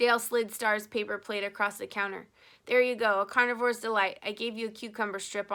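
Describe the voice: This is plain reading aloud, and the intonation holds fairly even.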